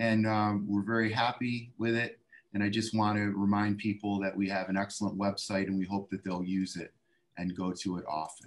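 Delivered at a moderate pace, the voice stays monotone and flat. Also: man, fairly low pitch for a man. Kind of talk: meeting report. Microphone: video call.

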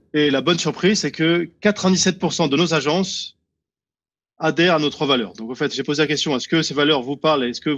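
A man speaks at a moderate pace. His pitch is fairly high, with ordinary variation. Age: 50s. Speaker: real estate network founder; guest. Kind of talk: interview. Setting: on holiday location. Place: home room. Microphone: video call.

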